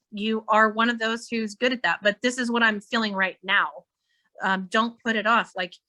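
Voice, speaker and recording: A woman with a fairly high pitch and a bright, sharp tone at a moderate pace, dry and close with no echo. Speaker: psychic medium. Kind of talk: psychic reading in a live online meeting. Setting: video call. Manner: animated.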